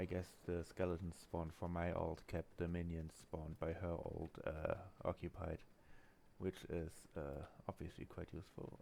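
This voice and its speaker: Quiet and monotone, a man with a very deep, low pitch and a dark, mellow tone speaks at a moderate pace with flat intonation. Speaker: gaming streamer. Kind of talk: live gameplay commentary. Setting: home, roommate asleep. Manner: quiet, low voice; hesitant, many fillers.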